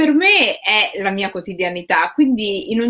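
Very wide swings of pitch in a female voice. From Rome, Italy. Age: 40s. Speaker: writer. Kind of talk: interview conversation.

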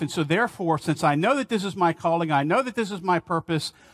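A man speaks against a quiet background. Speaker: pastor. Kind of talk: sermon. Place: church.

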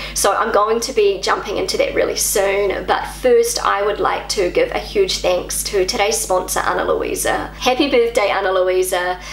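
A woman with a New Zealand accent talks with hardly any pauses. Audible room echo and light background noise are present. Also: moderate pace. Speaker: YouTuber. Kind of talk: vlog monologue. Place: home room.

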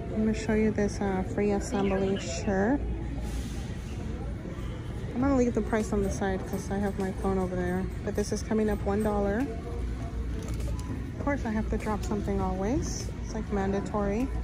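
A woman at a moderate pace with music in the background. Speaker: shopping vlogger. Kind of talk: casual vlog chat. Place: shop. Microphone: phone near.

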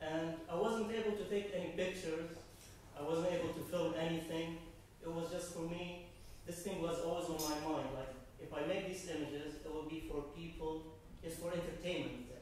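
A moderate pace with strong room echo and light background noise. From Syria. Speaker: audience member. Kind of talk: audience question. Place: meeting room. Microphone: camera far.

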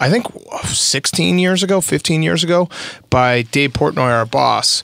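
A man with a plain, everyday voice and a fairly high pitch uses lively intonation, in a dry sound with no echo and a quiet background. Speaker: sports podcast host. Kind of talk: casual chat. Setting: studio. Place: studio. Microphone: studio mic.

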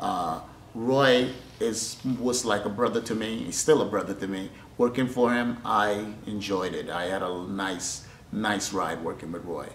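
Amid audible room echo and light background noise, a man with a fairly low pitch speaks at a fairly slow pace with ordinary pitch variation. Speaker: boxing trainer. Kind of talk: interview answer. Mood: warm, appreciative. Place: gym.

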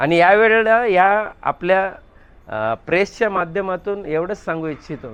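Ordinary pitch variation marks this voice. A man speaks at a high pitch. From Ghansoli, Navi Mumbai, Maharashtra. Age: 50s. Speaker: local politician. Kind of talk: media interview. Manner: rhetorical, speech-like.

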